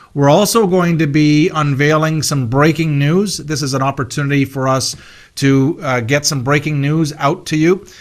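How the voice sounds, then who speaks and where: A man with a fairly high pitch speaks at a moderate pace with ordinary pitch variation. The recording is very clean, with a silent background. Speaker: corporate webinar host. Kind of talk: corporate presentation. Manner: animated.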